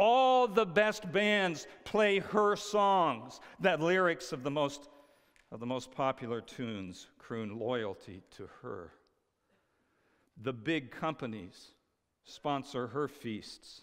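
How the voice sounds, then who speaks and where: The speech moves at a very slow pace, with big swings in loudness. The background is quiet. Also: man. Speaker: preacher. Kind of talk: sermon. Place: stage.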